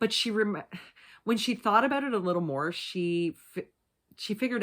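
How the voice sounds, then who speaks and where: The voice carries vocal fry and lively intonation. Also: woman. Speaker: true crime youtuber. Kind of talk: true crime storytelling. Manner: fast.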